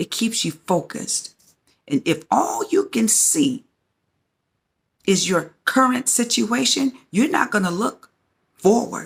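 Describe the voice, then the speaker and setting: A woman's fairly high voice with vocal fry and very wide pitch swings, at a very slow pace broken by long, frequent pauses. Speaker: faith-based teacher hosting her own channel. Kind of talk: sermon-style teaching to camera.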